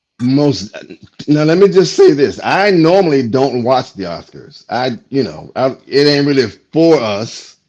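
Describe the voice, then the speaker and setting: Over music in the background, a man speaks at a fairly slow pace and a fairly high pitch with lively intonation. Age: 60s. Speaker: comedian. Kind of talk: casual chat. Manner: animated.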